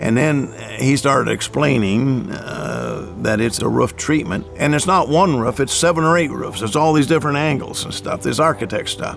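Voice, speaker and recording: A man at a moderate pace with lively intonation, music in the background. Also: medium pitch for a man. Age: 70s. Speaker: homeowner. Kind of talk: testimony. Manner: halting.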